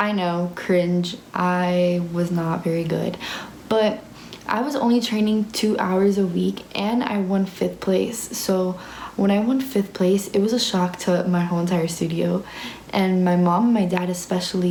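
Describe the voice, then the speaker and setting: An animated tone at a fairly slow pace, very even loudness and ordinary pitch variation, with audible room echo and noticeable background noise. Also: woman. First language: Spanish. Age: young. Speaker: ballet student and vlogger. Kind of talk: casual Q&A vlog. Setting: ballet dorm room.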